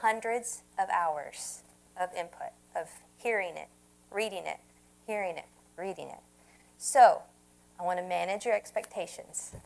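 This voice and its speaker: A woman speaks at a medium pitch with vocal fry. She leaves long, frequent pauses. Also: ordinary pitch variation, big swings in loudness. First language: not Spanish (Spanish is second language). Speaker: Spanish language teacher. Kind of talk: lecture. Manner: slow, repetitive for learners.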